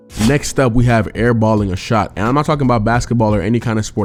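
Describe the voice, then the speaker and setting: A man talks at a very fast pace and a fairly low pitch, with ordinary pitch variation, over noticeable background noise. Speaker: comedic commentary YouTuber. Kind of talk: scripted comedic commentary.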